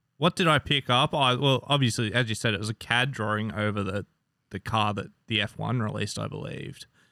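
In an Australian accent, the words come at a fairly quick pace. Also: man, medium pitch for a man, ordinary pitch variation. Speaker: motorsport fan. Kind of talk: casual chat.

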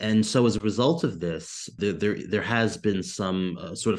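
Here a man with an American accent and a fairly low pitch talks at a moderate pace with ordinary pitch variation. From United States. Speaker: historian. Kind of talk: interview. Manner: halting.

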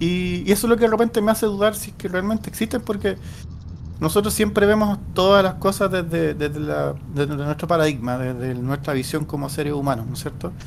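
A man talks at a moderate pace. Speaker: podcast co-host. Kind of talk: casual chat.

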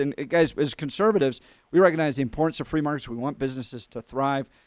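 In a dry, close recording with no echo, very clean and with a silent background, a man with a fairly high pitch speaks in an unremarkable speaking voice with ordinary pitch variation. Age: 40s. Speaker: radio host. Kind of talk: radio talk show interview.

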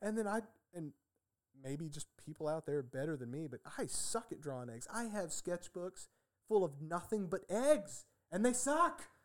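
At a moderate pace, a high-pitched man speaks with very wide pitch swings and big swings in loudness. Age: 30s. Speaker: artist and packaging engineer. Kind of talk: casual chat.

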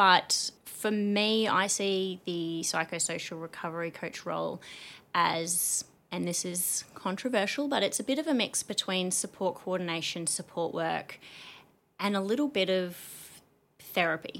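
With an Australian accent, a woman speaks at a fairly slow pace and medium pitch with ordinary pitch variation. The recording is very clean, with a silent background. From Australia, New South Wales (Lithgow), then Queensland from 15. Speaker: psychosocial recovery coach and business owner. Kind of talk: casual interview chat.

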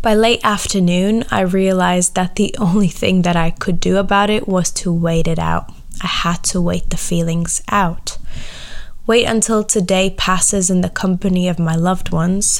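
Her medium-pitched voice stays fairly even in intonation and very even in loudness as the woman speaks at a moderate pace with audible room echo. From Latvia. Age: 20s. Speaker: podcast host. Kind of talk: personal monologue.

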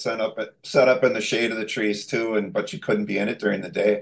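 A man with an American accent and a normal speaking voice, fairly quick pace, lively intonation. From Minnesota. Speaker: remodeling contractor and hunting video creator. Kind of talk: casual interview chat.

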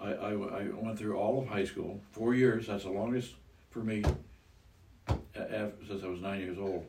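The voice has a dark, mellow tone, somewhat breathy, with an American accent. It moves at a fairly slow pace, and room echo is audible. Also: man. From US Midwest, Iowa. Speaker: grandfather, retiree. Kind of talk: casual chat.

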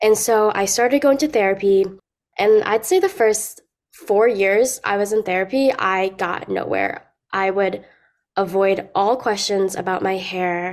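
This woman has an unremarkable speaking voice, medium in pitch with ordinary variation, delivered at a fairly slow pace. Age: young (19). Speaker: college student sharing her experience with trichotillomania. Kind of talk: personal testimony in interview. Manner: casual with frequent fillers like um and like.

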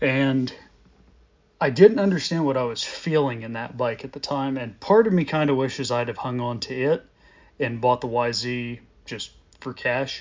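In an ordinary speaking voice, a man talks at a moderate pace with big swings in loudness. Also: medium pitch for a man, ordinary pitch variation. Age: 30s. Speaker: podcast host and motocross rider. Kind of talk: casual solo monologue.

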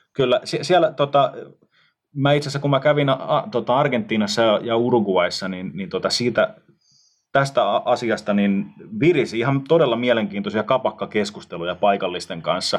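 A man at a medium pitch with very wide pitch swings, at a moderate pace against a quiet background. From Finland, Tampere. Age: 30s. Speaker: podcast host. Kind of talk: casual chat.

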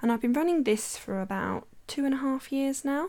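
A woman talks in an English Midlands accent, her pitch varying in an ordinary way. The recording is very clean, with a silent background. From English West Midlands, Worcestershire. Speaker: photographer and podcast host. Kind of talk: solo podcast monologue. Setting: home recording.

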